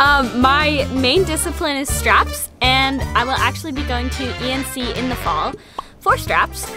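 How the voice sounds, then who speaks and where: Clear music plays behind a woman with an American accent, who speaks at a fairly slow pace in a dry sound with no echo. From Massachusetts, USA. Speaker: circus performer. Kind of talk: casual talk to camera. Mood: cheerful, friendly. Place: farm machine.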